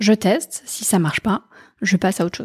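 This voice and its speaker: A woman's dark, mellow tone, somewhat breathy, in a dry, close sound with no echo. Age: 40s. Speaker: HR and impact executive. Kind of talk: interview. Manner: halting, many fillers.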